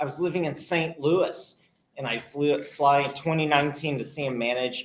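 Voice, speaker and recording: The speaker has a normal speaking voice and an American accent. Delivery comes at a moderate pace with ordinary pitch variation. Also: man. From US Midwest. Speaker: podcast host. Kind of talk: live Q&A panel chat. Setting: hotel event with live audience, streamed.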